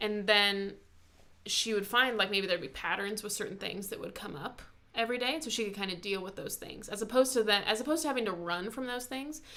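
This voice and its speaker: A fairly high, bright, sharp-toned woman's voice at a very fast pace, with ordinary pitch variation. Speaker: YouTuber discussing personality types. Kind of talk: casual chat.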